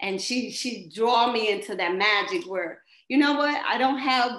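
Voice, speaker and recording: A woman with a fairly high voice speaks at a moderate pace against a quiet background, with audible room echo. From US Midwest, St. Louis, Missouri; Missouri. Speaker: dancer; interviewee. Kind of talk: interview. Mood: warm, reflective. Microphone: webcam.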